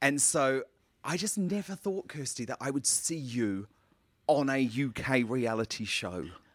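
A man with an ordinary speaking voice at medium pitch talks with lively intonation. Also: fairly slow pace. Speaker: podcast interviewer. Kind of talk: interview. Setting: studio.

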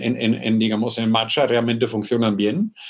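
A man speaks with a German accent. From northern Germany, north of Hamburg. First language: German (speaking Spanish). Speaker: business school professor. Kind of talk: interview. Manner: hesitant, frequent fillers.

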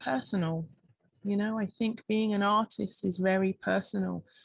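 Calm and somewhat breathy, a woman speaks at a moderate pace with a fairly high pitch and lively intonation, the sound dry and close with no echo. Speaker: wellness entrepreneur and breath coach. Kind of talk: interview conversation. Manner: calm, reflective.

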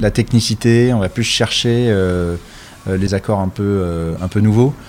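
Fairly even intonation carries this voice along at a fairly slow pace. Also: man. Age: 40s. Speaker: chef and restaurant owner. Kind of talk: interview. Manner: hesitant, many filler sounds.

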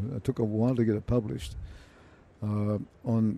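With an Australian accent, a man speaks at a moderate pace and a medium pitch. His tone is dark and mellow, with fairly even intonation. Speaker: accounting professor. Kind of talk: interview.

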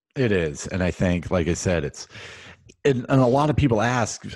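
Lively intonation at a moderate pace, with an American accent and a quiet background. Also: man. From US Northeast, central Massachusetts. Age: 40s. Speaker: podcast host and executive recruiter. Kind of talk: casual interview chat.

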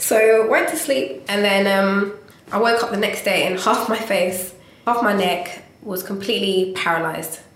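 The recording has audible room echo. Noticeable background noise is present as well. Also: woman, medium pitch for a woman, ordinary pitch variation, moderate pace. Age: 20s. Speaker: visual artist. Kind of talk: interview. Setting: meeting room in London.

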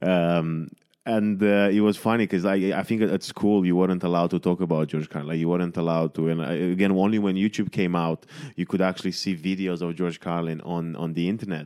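With a Romanian accent, a man speaks in a very deep, low voice with a dark, mellow tone. He talks fairly quickly, his intonation fairly even. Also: very clean recording, silent background. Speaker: podcast host and comedian. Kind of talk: casual chat.

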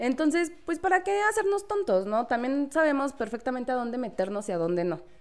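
Over noticeable background noise, a high-pitched woman talks fairly quickly with hardly any pauses. Her pitch swings very widely. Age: 30s. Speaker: legal office assistant. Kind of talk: casual chat.

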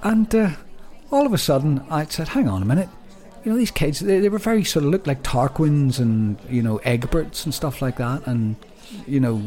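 A man with a fairly high pitch and very wide pitch swings talks against noticeable background noise. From Northern Ireland. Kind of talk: casual chat. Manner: fast talker when using natural accent.

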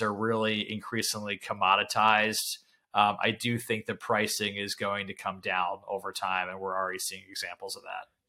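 With a bright, sharp tone and fairly low pitch, a man speaks at a moderate pace in a monotone, flat delivery. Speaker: investment banker. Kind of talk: casual interview. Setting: call.

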